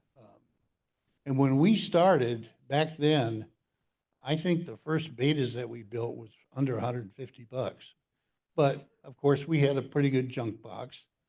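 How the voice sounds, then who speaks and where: A man of medium pitch and dark, mellow tone speaks fairly slowly, with ordinary pitch variation, big swings in loudness and long, frequent pauses. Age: 80s+. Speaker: ham radio designer presenting at symposium. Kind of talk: conference talk. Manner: hesitant with fillers.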